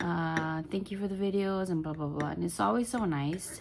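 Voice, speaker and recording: A woman speaks quietly with ordinary pitch variation. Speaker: crochet vlogger. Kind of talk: casual vlog monologue. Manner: rambling, halting with many fillers; quiet, holding back volume.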